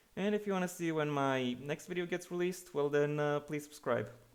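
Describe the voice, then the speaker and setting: Words come at a fairly quick pace, and the pitch varies in an ordinary way. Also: man. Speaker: YouTube book reviewer. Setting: echoey room mid-move. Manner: halting, repeats words. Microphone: echoey room sound.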